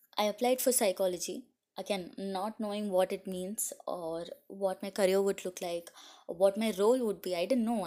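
Heard on a very clean recording with a silent background, the voice has a dark, mellow tone, fairly even intonation, and a moderate pace. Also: woman. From India. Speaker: podcast host, health coach. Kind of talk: solo monologue podcast. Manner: hesitant, many fillers.

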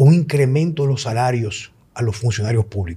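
A man's dark, mellow, somewhat breathy voice with a Dominican accent. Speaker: podcast host, health coach. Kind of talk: casual chat.

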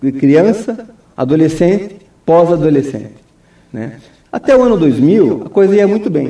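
Audible room echo surrounds a man speaking at a moderate pace in a high voice, with very wide pitch swings and long, frequent pauses. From Brazil, Foz do Iguaçu (Paraná). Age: 50s. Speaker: mayoral candidate, lawyer. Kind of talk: radio interview. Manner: hesitant, many fillers.

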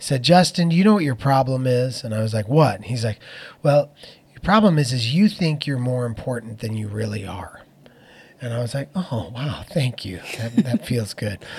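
On a very clean recording with a silent background, a somewhat breathy man speaks with lively intonation and big swings in loudness. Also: medium pitch for a man, moderate pace. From Phoenix, Arizona. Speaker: worship leader and pastor. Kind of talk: interview conversation. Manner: hesitant with fillers.

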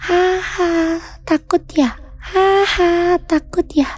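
A woman's put-on character voice, extremely high in pitch and very slow, with light background noise. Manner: creepy, taunting, laughing.

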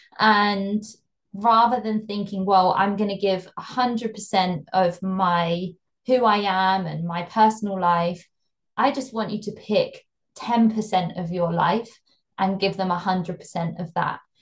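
Speaking very slowly in a British accent, a woman uses a medium pitch, fairly even intonation and a somewhat breathy voice. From UK. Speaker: fashion brand consultant. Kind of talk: interview.

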